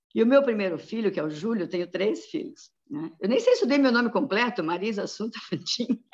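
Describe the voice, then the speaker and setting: Fairly high-pitched and somewhat breathy, a woman talks at a fairly quick pace with very wide pitch swings. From Santa Catarina, Brazil (São Lourenço do Oeste). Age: 60s. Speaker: pediatrician. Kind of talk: interview.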